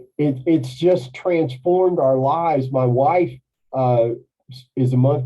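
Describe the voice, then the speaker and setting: A man's somewhat breathy voice at a medium pitch with ordinary pitch variation. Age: 60s. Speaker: carnivore diet coach. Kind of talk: interview testimony. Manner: animated.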